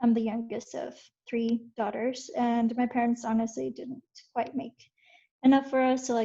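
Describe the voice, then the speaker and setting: A woman speaks at a moderate pace in a fairly high pitch with a dark, mellow tone and monotone, flat intonation. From Mexico, raised in Utah from age nine. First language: Spanish. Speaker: software engineer, alumni panelist. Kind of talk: panel introduction, casual.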